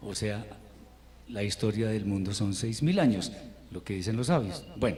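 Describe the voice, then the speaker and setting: Audible room echo surrounds a man with a fairly low pitch and a dark, mellow tone. His somewhat breathy voice moves at a moderate pace with ordinary pitch variation. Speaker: Hebrew teacher. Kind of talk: lecture. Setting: online class.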